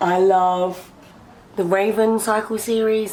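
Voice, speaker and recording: A woman speaks with an English accent. Her intonation is fairly even. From England. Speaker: booktuber. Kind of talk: casual Q&A vlog.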